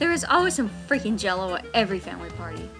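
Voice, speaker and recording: Over music in the background, a woman speaks at a fairly quick pace. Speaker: college student. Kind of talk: persuasive speech.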